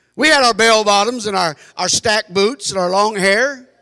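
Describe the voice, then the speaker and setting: A raised, projected voice with a bright, sharp, animated tone comes at a moderate pace with ordinary pitch variation, in a very clean recording with a silent background. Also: man. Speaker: preacher. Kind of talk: sermon.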